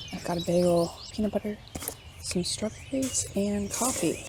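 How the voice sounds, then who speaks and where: A woman talks at a medium speed as clear background noise runs underneath. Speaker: travel vlogger. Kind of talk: casual vlog narration. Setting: outdoors on a lake.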